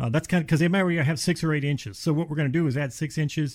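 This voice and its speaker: Over a silent background in a very clean recording, a man speaks very fast with fairly even intonation. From US Midwest, Cleveland area, Ohio. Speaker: insulation company representative. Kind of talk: casual radio chat. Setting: studio.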